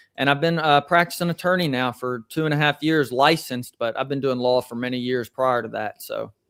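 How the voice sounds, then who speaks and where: With hardly any pauses, a man talks at a fairly quick pace and a fairly high pitch, using ordinary pitch variation. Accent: Southern US. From US South, Columbia, Tennessee. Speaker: attorney. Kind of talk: interview.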